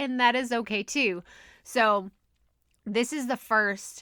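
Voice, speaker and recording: In a Texas accent, a woman with a fairly high pitch speaks on a very clean recording with a silent background. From Texas, USA. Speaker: podcast coach. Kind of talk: podcast episode, casual talk.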